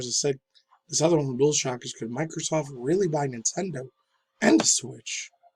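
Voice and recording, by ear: In a put-on character voice, a man speaks at a moderate pace, sounding raspy and fairly high-pitched.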